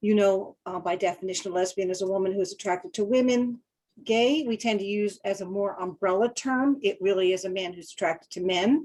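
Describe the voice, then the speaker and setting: Here a woman talks at a fairly quick pace. Her pitch is medium, with ordinary variation. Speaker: school counselor, webinar presenter. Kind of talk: webinar lecture. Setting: online webinar. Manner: fast.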